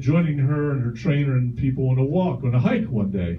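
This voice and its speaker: Audible room echo surrounds a man whose fairly high pitch moves with lively intonation at a moderate pace. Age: 60s. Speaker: stand-up comedian. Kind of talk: stand-up. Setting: stage with audience.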